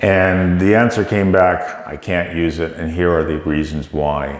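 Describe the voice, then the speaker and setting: The speaker has a Canadian accent, with noticeable background noise and audible room echo around the voice. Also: man. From Canada. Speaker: tech company CEO. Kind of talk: interview.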